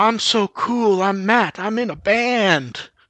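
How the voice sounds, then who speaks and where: A put-on character voice, female-sounding, carries the lines. It moves at a fairly slow pace. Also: fairly high pitch for a woman. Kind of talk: casual, laid-back. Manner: mocking, not serious.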